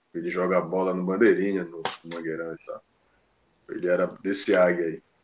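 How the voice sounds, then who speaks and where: At a moderate pace, a man with a very deep, low voice speaks in a flat monotone while his loudness swings widely. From Belém, Pará, northern Brazil. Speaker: football pundit. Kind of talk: casual chat.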